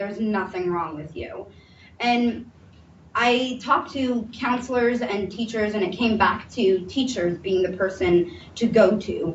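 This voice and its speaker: A somewhat breathy voice at a fairly slow pace, with ordinary pitch variation and audible room echo. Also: woman, fairly high pitch for a woman. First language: Somali. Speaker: mental health panel speaker. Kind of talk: testimony. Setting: panel presentation with audience.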